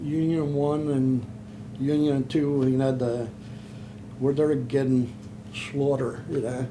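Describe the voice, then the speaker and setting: Speaking with a Philadelphia accent, a man keeps a medium pitch and monotone, flat intonation at a fairly slow pace, with audible room echo. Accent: Philadelphia-area American. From Pennsylvania, Chester. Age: 70s. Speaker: war veteran. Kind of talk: oral history interview. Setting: in person, Philadelphia. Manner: halting.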